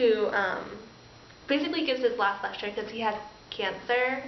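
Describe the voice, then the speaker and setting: A woman speaks with ordinary pitch variation. There is audible room echo. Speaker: pharmacy student. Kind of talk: casual vlog chat. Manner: animated.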